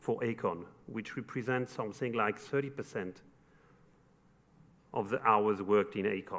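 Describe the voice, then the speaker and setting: A man with a French accent talks at a fairly slow pace. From France, Paris. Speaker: construction company executive. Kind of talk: formal speech.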